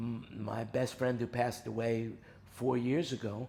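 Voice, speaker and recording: A man with an American accent talks at medium pitch. His voice is somewhat breathy, with a dark, mellow tone. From New York. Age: 70s. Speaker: music industry veteran. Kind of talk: casual interview chat.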